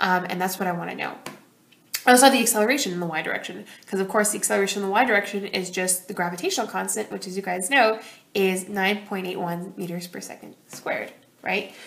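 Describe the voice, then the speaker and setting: An animated, very fast voice with big swings in loudness over noticeable background noise. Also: woman, medium pitch for a woman. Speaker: high school physics teacher. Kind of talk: tutorial.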